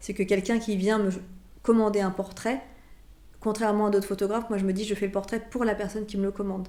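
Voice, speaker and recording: A woman at medium pitch, very fast and monotone, with flat intonation. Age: 40s. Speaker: portrait photographer. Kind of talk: interview. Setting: photo studio.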